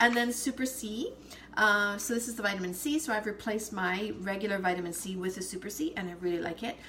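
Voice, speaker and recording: A woman talks at a very fast pace. Noticeable background noise is audible. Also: medium pitch for a woman, ordinary pitch variation. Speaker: essential oils seller. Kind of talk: casual live video chat.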